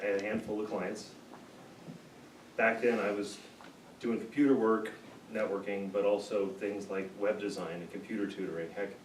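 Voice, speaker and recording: Audible room echo and noticeable background noise surround a man at fairly low pitch speaking at a moderate pace in a monotone, flat intonation with long, frequent pauses. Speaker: small business owner. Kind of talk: speech.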